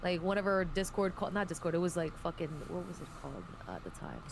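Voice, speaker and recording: Recorded with audible room echo, a woman speaks with a non-native accent. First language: not English. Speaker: podcast guest, gaming streamer. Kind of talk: casual chat.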